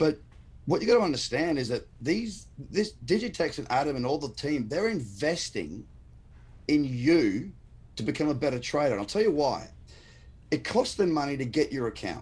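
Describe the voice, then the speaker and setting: With an Australian accent and vocal fry, a man speaks at a fairly high pitch and a moderate pace, swinging his pitch very widely and taking long, frequent pauses, in a very clean recording with a silent background. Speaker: crypto trader and trading educator. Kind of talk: casual live-stream interview. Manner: passionate, emphatic.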